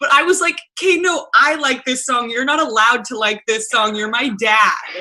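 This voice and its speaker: In a Canadian accent, a woman speaks at a moderate pace in a raised, projected voice with a high pitch. Her tone is bright, sharp and animated, with lively intonation. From Canada. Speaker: radio host. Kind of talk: interview. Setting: video call.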